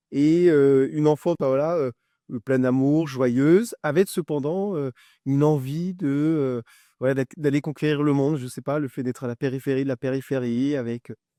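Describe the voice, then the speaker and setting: A man speaks at a moderate pace with a fairly high pitch and a dark, mellow tone. His intonation stays fairly even, and the sound is dry and close with no echo against a quiet background. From France, Brittany (Brest). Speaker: tech entrepreneur. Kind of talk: interview. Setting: studio, filmed podcast. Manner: hesitant, many fillers and repetitions.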